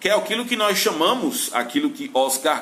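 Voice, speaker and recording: Noticeable background noise and audible room echo accompany a man speaking in a raised, projected voice. His pitch swings very widely, and his pace is fairly slow. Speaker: Bible teacher. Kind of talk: lecture.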